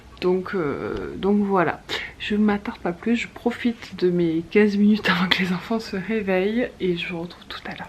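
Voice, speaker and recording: Noticeable background noise sits behind a woman speaking. Her pace is moderate and her intonation fairly even. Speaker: mother vlogger. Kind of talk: casual vlog talk to camera. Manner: hesitant fillers; soft-spoken.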